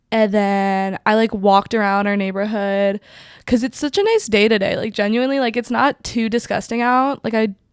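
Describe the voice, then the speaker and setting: A woman speaks at a fairly high pitch and moderate pace with fairly even intonation. The recording is very clean, the background silent. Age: 20s. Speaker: film podcast host. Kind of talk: casual chat.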